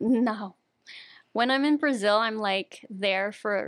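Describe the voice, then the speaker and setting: On a very clean recording with a silent background and a dry, close sound with no echo, a woman speaks at a fairly slow pace in a normal speaking voice, with medium pitch and ordinary pitch variation. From US, Brazilian immigrant community. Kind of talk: casual chat.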